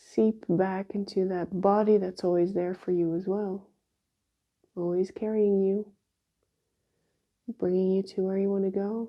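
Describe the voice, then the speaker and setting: In a calm, soothing tone, a woman talks at a fairly slow pace in a monotone, flat intonation, with long, frequent pauses. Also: medium pitch for a woman. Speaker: shiatsu practitioner. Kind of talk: guided exercise instruction. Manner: slow, calm and soothing; voice lowered, relaxed.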